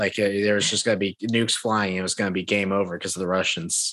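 This man has an ordinary speaking voice, fairly low in pitch, and talks at a fairly quick pace. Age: 20s. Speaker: podcast host. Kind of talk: casual chat.

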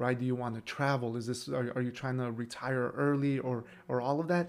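This man has an ordinary speaking voice at medium pitch. He moves at a fairly quick pace with fairly even intonation. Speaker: program manager, former teacher. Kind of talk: casual interview.

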